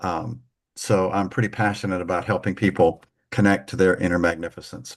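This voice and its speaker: Over a quiet background, a man with an American accent speaks at a moderate pace. His very deep, low voice carries vocal fry. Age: 70s. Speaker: minister and life coach. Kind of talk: interview conversation on live stream. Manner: halting, many fillers and restarts.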